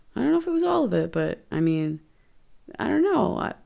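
In a very clean recording with a silent background, a woman with an American accent speaks at a fairly quick pace. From Los Angeles, US. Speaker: podcast host. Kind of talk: solo true-crime podcast narration. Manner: casual, conversational.

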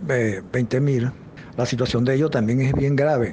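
A man's medium-pitched voice at a moderate pace, fairly even in intonation, over noticeable background noise. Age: 70s. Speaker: pensioners' rights advocate. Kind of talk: interview. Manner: halting.

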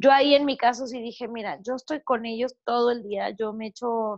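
A woman's normal speaking voice, fairly high in pitch, over a quiet background. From Mexico. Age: 30s. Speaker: entrepreneur and podcaster, mother. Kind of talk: interview, casual chat.

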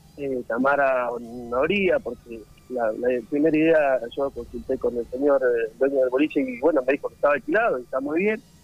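Over music in the background, a man talks at a moderate pace with hardly any pauses, his fairly high pitch showing ordinary variation. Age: 20s. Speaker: party organizer. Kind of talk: radio interview.

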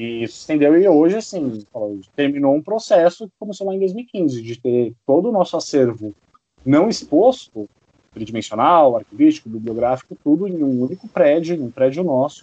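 A man talks at a moderate pace with a fairly high voice. His pitch swings very widely. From São Paulo city, Brazil. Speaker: museum heritage staff. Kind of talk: interview testimony.

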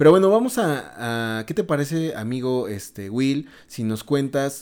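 Very clean recording, silent background, and a man with a plain, everyday voice. He has a medium pitch and lively intonation. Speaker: podcast host. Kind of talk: casual chat.

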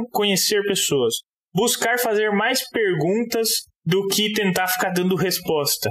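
A man with a high pitch. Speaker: podcast host, agronomist. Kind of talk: casual interview conversation.

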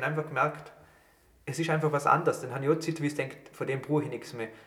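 Noticeable background noise is present throughout. A man talks over it. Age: 20s. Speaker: podcast host and student. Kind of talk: casual chat. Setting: studio.

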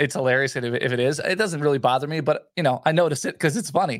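Talking at a very fast pace with hardly any pauses, a man with an American accent uses a fairly high pitch and ordinary pitch variation. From New Jersey, Edison (Middlesex County). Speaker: radio host and podcaster. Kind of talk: casual chat.

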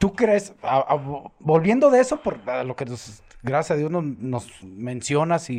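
A man with a fairly high voice speaks at a very slow pace, his pitch swinging very widely over a quiet background. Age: old. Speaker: podcast host, former footballer. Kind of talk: interview.

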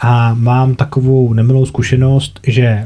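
Somewhat breathy and dark, mellow in tone, a man's voice sits at a medium pitch. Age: 30s. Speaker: podcast host, former medical worker. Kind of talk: casual interview.

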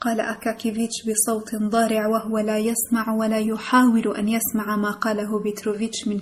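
The speaker reads in an unforced reading voice.

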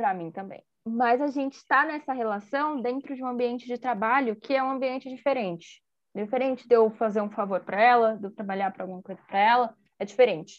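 In a São Paulo accent, a woman speaks fairly quickly at a fairly high pitch with ordinary pitch variation. Her loudness swings widely. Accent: São Paulo Brazilian Portuguese. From Brazil, São Paulo. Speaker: podcast host, law student. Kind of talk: casual chat.

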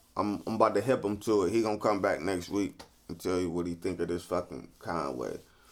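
There's vocal fry in this man's very deep, low voice as he talks at a fairly quick pace. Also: ordinary pitch variation. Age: 30s. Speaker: podcast host. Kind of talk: casual chat. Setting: studio. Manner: repetitive stammering.

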